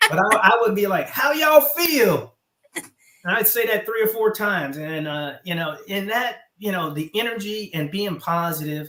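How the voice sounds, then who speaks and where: A man with a slight Southern US accent speaks in a raised, projected voice at a high pitch, moving at a moderate pace with lively intonation. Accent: slight Southern twang. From US South. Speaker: retired military officer. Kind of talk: interview. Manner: animated.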